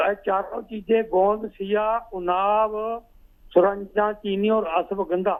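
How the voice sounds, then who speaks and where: A man speaks at a high pitch. His intonation is monotone and flat. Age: 60s. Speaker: caller. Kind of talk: phone-in testimony.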